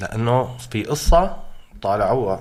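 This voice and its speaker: At a very slow pace, a somewhat breathy man talks at medium pitch with ordinary pitch variation, and audible room echo surrounds him. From Syria, Hama. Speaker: protest chant singer. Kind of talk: interview. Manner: animated.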